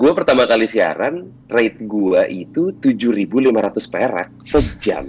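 Speaking at a very slow pace, a man keeps his loudness very even. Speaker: radio announcer and voice-over talent. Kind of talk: casual chat.

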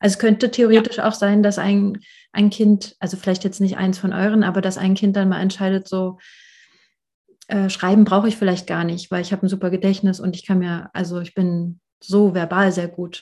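A woman speaks at a moderate pace in a somewhat breathy, dark, mellow voice of medium pitch, her intonation monotone and flat. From rural Germany. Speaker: podcast host and therapist. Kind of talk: casual interview.

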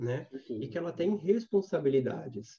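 A man talks at a fairly slow pace, his tone dark and mellow and somewhat breathy. His intonation is lively. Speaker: social responsibility consultant. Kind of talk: guided meditation; casual chat.

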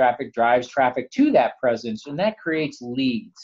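Man with an American accent, a normal speaking voice, medium pitch, and a fairly quick pace. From New Jersey. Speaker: software company CEO. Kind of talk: interview.

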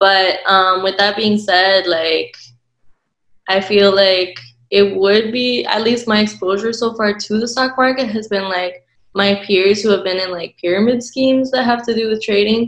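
Using a normal speaking voice, a woman talks at a fairly slow pace in a medium pitch with fairly even intonation. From United States, partly raised in Ecuador. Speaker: graduate student panelist. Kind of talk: panel discussion.

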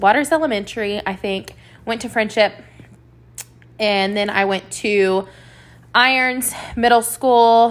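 A woman speaks with a Texan accent. Her voice is fairly high in pitch, with fairly even intonation. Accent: Texan American. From West Texas (Lubbock). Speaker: boutique owner and podcast host. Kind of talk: solo monologue podcast.

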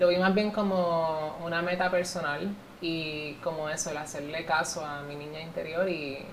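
A woman's fairly low, monotone, flat voice at a fairly slow pace, with big swings in loudness and audible room echo. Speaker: beauty pageant contestant. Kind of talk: interview.

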